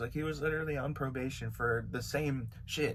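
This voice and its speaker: This man has an American accent and a fairly high pitch, with some vocal fry. His intonation stays fairly even at a moderate pace. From California. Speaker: YouTuber and beat maker. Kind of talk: storytime vlog. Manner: casual, filler-heavy.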